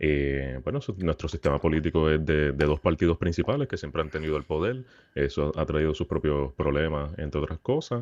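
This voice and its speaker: Against a quiet background, a man with a very deep, low pitch speaks fairly quickly with ordinary pitch variation, in a dry, close sound with no echo. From Puerto Rico, Caguas. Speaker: psychologist and academic. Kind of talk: interview answers.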